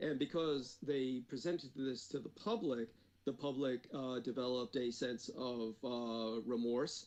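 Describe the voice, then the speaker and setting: A man uses an ordinary speaking voice at a medium pitch. His pace is fairly slow and his intonation fairly even. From United States (born in Taiwan, moved at three). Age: 50s. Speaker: former defense department employee, occult researcher. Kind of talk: interview.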